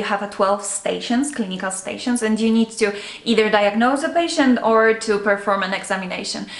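A woman talks with a fairly high pitch and fairly even intonation. Audible room echo is present. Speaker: medical student. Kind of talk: casual chat. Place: home room.

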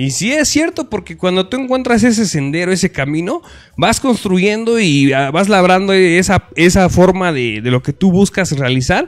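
This man's voice sits high in pitch. He moves at a moderate pace with very wide swings in pitch. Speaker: online show host. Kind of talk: casual interview. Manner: rough, blunt delivery.

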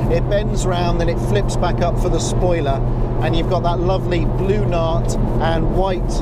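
A man talks at a moderate pace against loud background noise, with a dry sound and no echo. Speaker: car reviewer. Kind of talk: car review commentary. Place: car.

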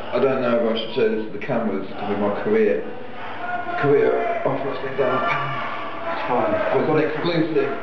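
A man speaks with long, frequent pauses, his voice carrying audible room echo over loud background noise. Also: moderate pace. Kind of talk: in-character wrestling promo. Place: home room. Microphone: camera far.

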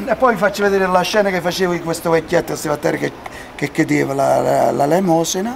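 A man talks in a high voice. Light background noise is present. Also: ordinary pitch variation, fairly quick pace. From Campania. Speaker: local resident; interviewee, former film actor. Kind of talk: street interview. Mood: animated, reminiscing. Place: street.

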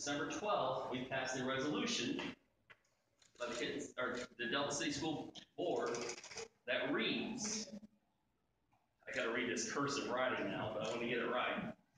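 Over noticeable background noise and strong room echo, a man with medium pitch talks at a moderate pace with lively intonation and long, frequent pauses. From Ohio, USA. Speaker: school superintendent. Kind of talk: ceremonial presentation speech. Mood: warm, respectful. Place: hall. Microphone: camera far.

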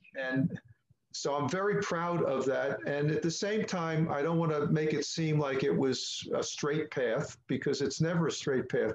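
The speech comes at a fairly slow pace with ordinary pitch variation and very even loudness, with audible room echo and light background noise. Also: man. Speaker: musician. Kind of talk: interview answer. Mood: proud, upbeat. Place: home room. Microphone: webcam.

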